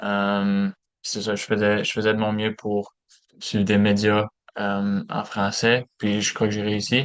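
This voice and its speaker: The delivery is very slow and monotone, with flat intonation. The sound is dry and close, with no echo. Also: man, fairly low pitch for a man. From Alberta, Canada (small francophone village near Saint-Paul). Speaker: education student. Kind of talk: class presentation. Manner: halting, many fillers.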